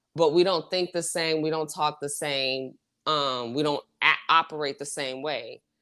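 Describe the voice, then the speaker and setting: On a very clean recording with a silent background, a woman with an American accent speaks at a fairly slow pace in a very deep, low pitch, with a bright, sharp tone and fairly even intonation. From US South, Houston, Texas. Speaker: podcast host. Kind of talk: casual chat. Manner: halting, many false starts and fillers.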